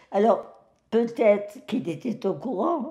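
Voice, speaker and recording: A woman talks very slowly in a dark, mellow tone. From Algeria (French Algiers). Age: 90s. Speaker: elderly woman sharing life story. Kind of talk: personal testimony interview. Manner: halting with hesitations.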